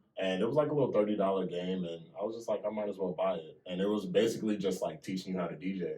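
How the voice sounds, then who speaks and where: A man with a fairly low pitch talks at a very fast pace with hardly any pauses and ordinary pitch variation, amid noticeable background noise. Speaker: DJ. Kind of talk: casual interview chat.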